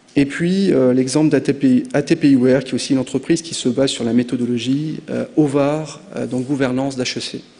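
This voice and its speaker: Talking at a fairly quick pace with hardly any pauses, a man with a medium-pitched voice keeps a fairly even intonation over noticeable background noise. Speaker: conference speaker, business founder. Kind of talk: conference talk. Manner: hesitant, many fillers.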